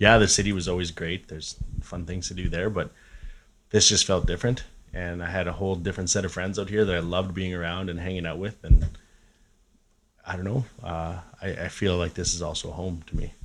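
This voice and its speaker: With a Canadian prairie accent, a man speaks in a very deep, low voice with monotone, flat intonation. His pace is fairly quick, broken by long, frequent pauses. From Saskatchewan, Canada (Regina). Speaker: musician. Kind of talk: casual chat. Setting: cabin.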